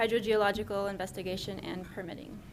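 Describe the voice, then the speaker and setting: A soft-spoken woman at medium pitch, monotone and flat in intonation, with audible room echo. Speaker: city environmental specialist. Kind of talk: staff presentation.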